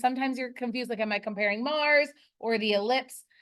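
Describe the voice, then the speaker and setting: A woman with an American accent speaks loud and at a high pitch. Her pace is fairly quick. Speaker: high school earth science teacher. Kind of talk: classroom lesson. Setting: classroom.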